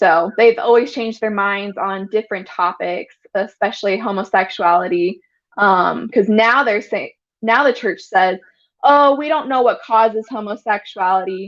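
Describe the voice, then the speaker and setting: This is a normal speaking voice: a woman with an American accent and a fairly high pitch. She talks at a moderate pace with ordinary pitch variation. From Utah. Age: 20s. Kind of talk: interview testimony.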